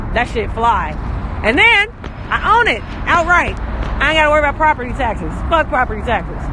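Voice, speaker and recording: A man at a fairly quick pace, dry with no echo, over noticeable background noise. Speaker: live streamer. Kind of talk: casual vlog chat. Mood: upbeat, boastful. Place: street. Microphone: phone near.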